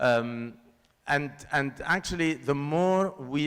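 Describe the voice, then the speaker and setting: A man with a Lebanese accent. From Lebanon. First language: Lebanese Arabic. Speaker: filmmaker. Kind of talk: panel discussion.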